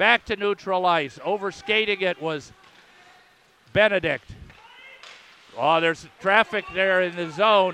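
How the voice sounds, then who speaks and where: Raised and projected yet hoarse, the voice has an American accent and moves at a fairly slow pace with ordinary pitch variation. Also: man. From Philadelphia, US. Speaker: radio play-by-play announcer and English teacher. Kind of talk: live sports commentary. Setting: radio broadcast booth at a rink. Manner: hoarse, strained from many games.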